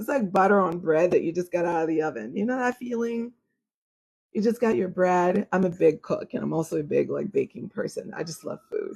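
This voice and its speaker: A woman's medium-pitched voice with vocal fry, lively intonation and a fairly quick pace. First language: French. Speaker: astrologer. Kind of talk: live stream chat with viewers. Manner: formal.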